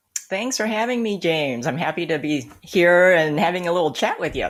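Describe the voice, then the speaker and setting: A woman with a plain, everyday voice and an American accent speaks at a moderate pace and fairly low pitch with lively intonation, in a very clean recording with a silent background. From US. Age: 50s. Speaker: children's author and copywriter. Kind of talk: interview chat.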